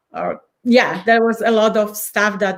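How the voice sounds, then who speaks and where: Here a woman speaks with a Polish accent at a fairly high pitch. Her pace is very slow. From Poland. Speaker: change and transition coach. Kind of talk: podcast interview. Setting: live video podcast.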